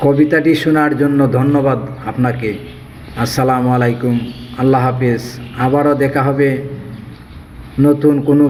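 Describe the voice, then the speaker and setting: A man's medium-pitched, monotone, flat delivery at very even loudness, over noticeable background noise. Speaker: poet. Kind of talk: poem introduction to viewers.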